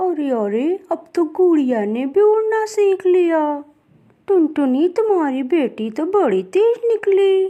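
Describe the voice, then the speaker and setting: A woman uses a cartoonish character voice pitched extremely high. She talks at a fairly slow pace. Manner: chatty, lively.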